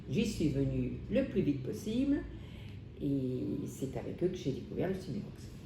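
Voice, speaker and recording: A woman speaks at a fairly slow pace with long, frequent pauses, and audible room echo surrounds her voice. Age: 70s. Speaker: patient. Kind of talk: testimony. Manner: halting, many hesitations.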